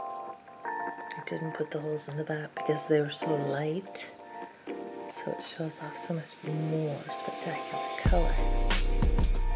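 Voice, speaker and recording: A woman talks at a fairly slow pace. Loud music plays in the background. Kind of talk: ASMR show and tell. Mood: admiring, delighted. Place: home room.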